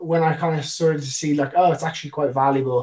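A fairly high-pitched man with a Dublin accent. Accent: Irish (Dublin). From Ireland (Dublin). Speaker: professional wakeboarder. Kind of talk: casual chat.

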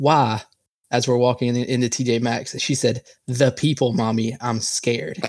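In an ordinary speaking voice, a man talks at a medium pitch with fairly even intonation. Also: moderate pace. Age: 20s. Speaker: podcast co-host. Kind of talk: casual chat.

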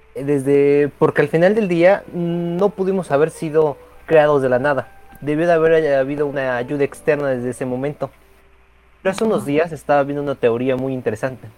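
Moderate pace amid noticeable background noise. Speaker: caller. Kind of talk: debate.

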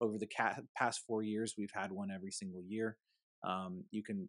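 A man talks at a moderate pace in a normal speaking voice, fairly low in pitch with fairly even intonation. The sound is dry and close with no echo over a quiet background. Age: 40s. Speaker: insurance agency founder and podcast host. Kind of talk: casual interview.

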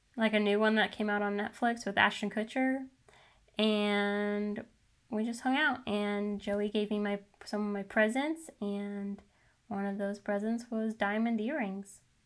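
In a very clean recording with a silent background, a woman talks with an ordinary speaking voice at medium pitch, a fairly slow pace and fairly even intonation. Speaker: podcast host. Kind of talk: casual chat. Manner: playful, joking.

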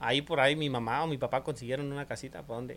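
A man's ordinary speaking voice, fairly high in pitch, at a moderate pace with fairly even intonation. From rural Mexico, mountain ranch. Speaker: podcast guest. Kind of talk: casual chat.

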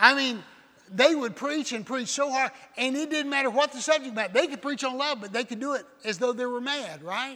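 A man speaks at a fairly quick pace in a raised, projected voice with an extremely high pitch. His tone is bright and sharp, with ordinary pitch variation. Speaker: visiting preacher. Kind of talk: sermon. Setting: church.

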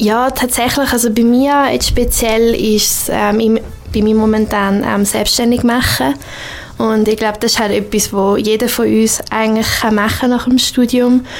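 The speech moves at a moderate pace with fairly even intonation against noticeable background noise. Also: woman, fairly high pitch for a woman. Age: 20s. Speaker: multimedia producer and wedding photographer. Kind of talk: radio interview.

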